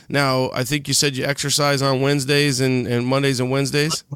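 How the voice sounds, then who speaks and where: In a normal speaking voice, a man talks at a moderate pace with fairly even intonation. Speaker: podcast host. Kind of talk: casual podcast interview.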